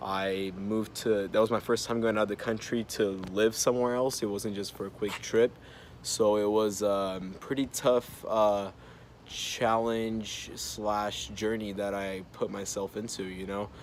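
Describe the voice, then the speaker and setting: A man with a Portuguese accent speaks at a fairly slow pace, his fairly low pitch delivered in a monotone, flat way. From Brazil. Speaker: college student. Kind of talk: personal introduction for class. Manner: halting, many fillers.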